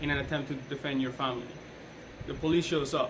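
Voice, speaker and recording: Over noticeable background noise and audible room echo, a man talks at a moderate pace with a Colombian accent. His pitch is fairly high and his intonation fairly even. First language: Spanish. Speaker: police officer giving a class speech. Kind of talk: persuasive speech.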